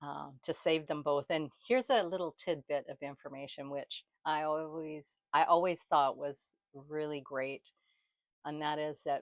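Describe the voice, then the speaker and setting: A woman speaks at a fairly slow pace with a very deep, low pitch and fairly even intonation. The sound is dry and close, with no echo. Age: 60s. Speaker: vlogger. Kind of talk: casual talk to camera.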